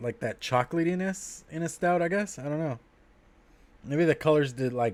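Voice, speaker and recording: A man's unremarkable speaking voice, fairly high in pitch, with ordinary pitch variation at a moderate pace. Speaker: vlogger reviewing beer on livestream. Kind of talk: casual livestream chat.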